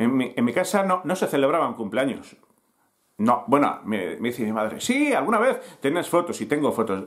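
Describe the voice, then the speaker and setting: A man speaks at a moderate pace with very wide pitch swings against a quiet background. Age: 50s. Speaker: youtuber and newspaper founder; youtuber telling his life story. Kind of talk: personal storytelling to camera. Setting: home, recording to camera. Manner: halting, many fillers. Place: home room. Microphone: webcam.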